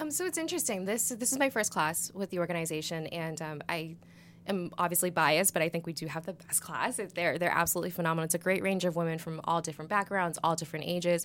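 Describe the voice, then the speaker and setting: Her pitch sits fairly low. This woman talks very fast. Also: ordinary pitch variation. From Massachusetts. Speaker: nonprofit executive director. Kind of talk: podcast interview.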